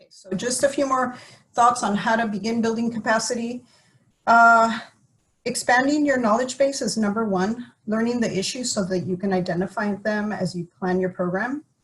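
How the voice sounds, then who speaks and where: A woman with a fairly high pitch and a somewhat breathy voice speaks with big swings in loudness. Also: ordinary pitch variation. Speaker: environmental agency staff presenter. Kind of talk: webinar presentation. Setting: virtual webinar with screen sharing. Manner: fast.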